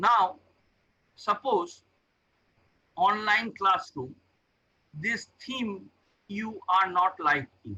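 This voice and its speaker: Pitched high, a man's raised, projected voice carries a bright, sharp tone and ordinary pitch variation. He speaks at a very slow pace with long, frequent pauses. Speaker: professor. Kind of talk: tutorial.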